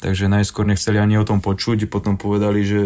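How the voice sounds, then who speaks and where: The recording is very clean, with a silent background. A man talks at a fairly quick pace in a fairly low pitch with monotone, flat intonation. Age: 30s. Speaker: footballer. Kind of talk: casual chat.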